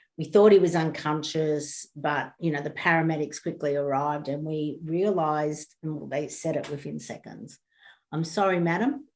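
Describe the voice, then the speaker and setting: A woman's very deep, low voice with vocal fry and an Australian accent, at a moderate pace, on a very clean recording with a silent background. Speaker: bereaved parent. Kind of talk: interview.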